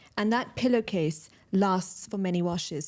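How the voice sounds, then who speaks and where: A woman with a London accent speaks at a medium pitch on a very clean recording with a silent background. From London, England. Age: 30s. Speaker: entrepreneur. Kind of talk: podcast interview.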